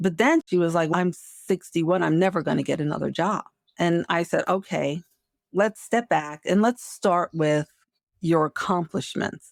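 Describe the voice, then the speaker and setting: A woman with a plain, everyday voice, fairly low pitch, and a moderate pace, in a dry, close sound with no echo. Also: ordinary pitch variation, very even loudness, very clean recording, silent background. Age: 60s. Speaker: marketing executive and career coach. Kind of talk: interview conversation. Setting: podcast.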